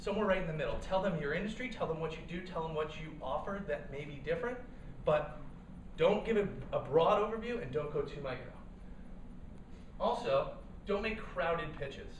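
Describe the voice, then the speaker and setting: Through noticeable background noise and audible room echo, a high-pitched man talks at a fairly quick pace with ordinary pitch variation and long, frequent pauses. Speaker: startup cofounder and speaker. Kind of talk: workshop talk. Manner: fast; animated.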